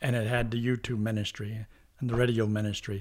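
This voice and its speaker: A man speaks fast-ish, at a fairly quick pace, in a monotone, flat way at medium pitch. His somewhat breathy voice sits on a very clean recording with a silent background. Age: old. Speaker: pastor and evangelist. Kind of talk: casual interview conversation.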